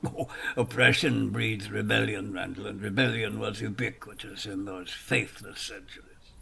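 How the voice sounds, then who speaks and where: A man in a put-on character voice, fairly low in pitch, with big swings in loudness, a moderate pace, and light background noise. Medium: audio drama. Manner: archaic, storytelling, with many repetitions.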